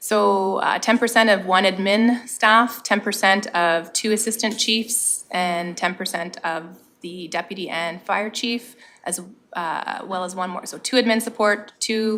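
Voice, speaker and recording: Her voice is a plain, everyday voice, medium-pitched for a woman, with fairly even intonation and a fairly slow pace. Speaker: municipal staff presenting fire department budget. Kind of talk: budget presentation at council meeting.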